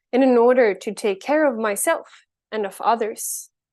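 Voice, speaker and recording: With a Swedish accent, a woman speaks at a moderate pace in a fairly high voice with ordinary pitch variation, over a quiet background. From Sweden. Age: 20s. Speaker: climate advocate, keynote speaker. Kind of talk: keynote speech.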